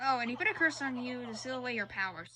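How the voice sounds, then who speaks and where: A female-sounding, put-on character voice, high in pitch for a woman. She talks at a very fast pace. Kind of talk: solemn fantasy narration. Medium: game stream. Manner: formal, archaic.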